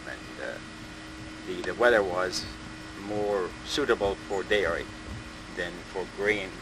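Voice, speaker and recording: Fairly slow male speech against noticeable background noise. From Switzerland, Jura Mountains. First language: Swiss German. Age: 60s. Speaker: interviewee recalling World War II. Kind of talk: oral history interview. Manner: halting.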